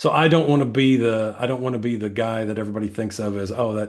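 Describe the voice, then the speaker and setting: At a very fast pace, a man speaks with a fairly low pitch and fairly even intonation. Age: 60s. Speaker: political candidate. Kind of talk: interview. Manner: halting, many repetitions and fillers.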